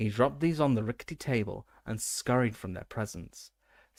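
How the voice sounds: A natural reading voice carries the clip. Nothing much stirs in the quiet background.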